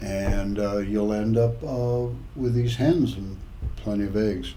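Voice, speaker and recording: A man with an American accent, fairly low in pitch, talking very slowly with ordinary pitch variation, amid audible room echo and noticeable background noise. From California. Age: 70s. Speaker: retired father telling life stories. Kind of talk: casual interview. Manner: halting.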